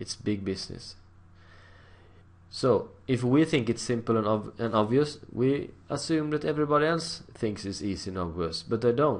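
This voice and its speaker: Over a quiet background, a man with a non-native accent talks at a moderate pace and medium pitch, his intonation lively. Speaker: internet marketer. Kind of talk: tutorial. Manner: halting, with repetitions.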